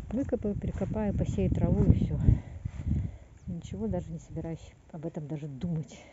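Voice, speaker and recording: Loud background noise surrounds a woman's speech. The sound itself is dry, with no echo. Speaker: gardener vlogger. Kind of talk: casual vlog chat. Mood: resigned, relaxed about garden. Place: garden. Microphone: phone near.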